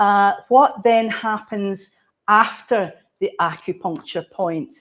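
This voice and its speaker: A woman speaks very slowly in a Scottish accent. Her pitch is medium, with ordinary variation. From Scotland. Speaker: cultural planner. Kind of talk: conference talk.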